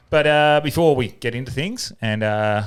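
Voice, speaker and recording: The intonation is lively. The speaker has an Australian accent. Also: man. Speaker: podcast host. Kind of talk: casual chat.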